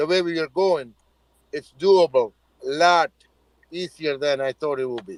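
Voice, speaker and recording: A man with an Indian accent talks at a moderate pace with ordinary pitch variation and long, frequent pauses. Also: big swings in loudness, dry, close sound with no echo. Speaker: crypto project founder. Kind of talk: live audio chat room.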